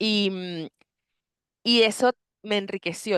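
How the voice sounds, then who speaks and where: Over a quiet background, a woman speaks with a medium pitch and ordinary pitch variation. The sound is dry and close, with no echo. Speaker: psychologist and coach. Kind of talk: interview conversation. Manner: fast; talkative, animated.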